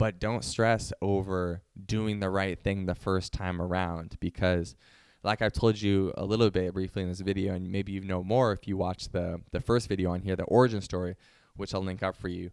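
Recorded very cleanly with a silent background and a dry, close sound with no echo, a man speaks at a moderate pace in a very deep, low voice with flat, monotone intonation. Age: 20s. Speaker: YouTuber and entrepreneur. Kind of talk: casual monologue to camera.

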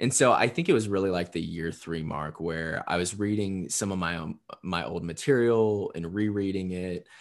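With an American accent, a man speaks at a very deep, low pitch and moderate pace, with ordinary pitch variation, against a quiet background. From US Midwest, southern Indiana. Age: 20s. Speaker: copywriter and poet. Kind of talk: casual interview chat.

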